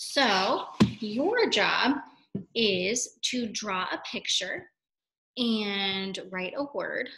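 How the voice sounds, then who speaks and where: Speaking very slowly, a woman uses lively intonation and a bright, sharp tone against a quiet background. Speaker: teacher. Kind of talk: read-aloud lesson to young children. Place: classroom. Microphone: webcam.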